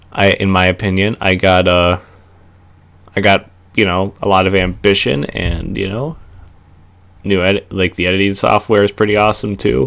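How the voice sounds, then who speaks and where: A man speaks at a moderate pace with a very deep, low pitch and an American accent. His delivery has long, frequent pauses. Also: ordinary pitch variation. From Minnesota. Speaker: wrestling reviewer, YouTuber. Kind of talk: casual vlog monologue. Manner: halting, many fillers.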